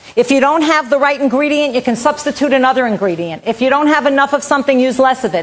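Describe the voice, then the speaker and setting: Through noticeable background noise, a woman with a high pitch speaks at a very fast pace with ordinary pitch variation. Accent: American. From New York. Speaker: vegan cooking instructor. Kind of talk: cooking demo. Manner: loud.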